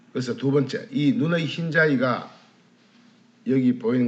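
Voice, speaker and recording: A man's voice sits fairly high and swings very widely in pitch. Room echo is audible. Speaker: alternative medicine lecturer. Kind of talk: lecture.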